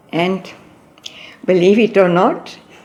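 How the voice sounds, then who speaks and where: A woman talks at a medium pitch, varying it in an ordinary way, over noticeable background noise. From East Africa. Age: 70s. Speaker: spiritual devotee. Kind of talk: interview. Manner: hesitant.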